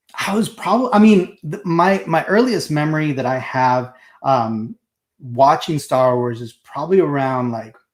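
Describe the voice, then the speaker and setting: Speaking with a Spanish accent, a man with a fairly high pitch shows very wide pitch swings and big swings in loudness. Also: moderate pace. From Mexico, moved to US as a child. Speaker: collectibles show co-host. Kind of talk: casual chat. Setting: live stream.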